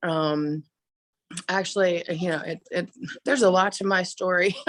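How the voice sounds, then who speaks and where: With an American accent, a woman talks at a moderate pace in a fairly low pitch, her intonation fairly even. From US South, Atlanta Georgia. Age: young. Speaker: film director and actress. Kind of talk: interview.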